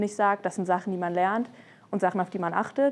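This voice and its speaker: A woman's voice at medium pitch. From Germany, Frankfurt. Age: 20s. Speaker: law student. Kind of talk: interview testimony. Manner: casual with fillers.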